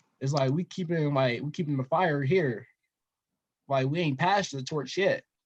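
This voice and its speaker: Somewhat breathy, a man with an American accent talks at a moderate pace in a fairly high pitch with ordinary pitch variation. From Denver, Colorado. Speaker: investor and storytelling guest. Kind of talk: casual interview.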